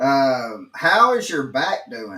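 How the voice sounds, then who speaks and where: A man's bright, sharp tone moves through very wide pitch swings. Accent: Southern. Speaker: podcast host. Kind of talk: podcast interview.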